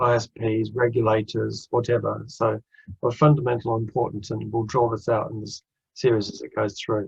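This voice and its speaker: This man talks at a moderate pace with a slight Australian accent, vocal fry, a flat monotone, and big swings in loudness. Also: medium pitch for a man. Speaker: interim finance director. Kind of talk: webinar presentation.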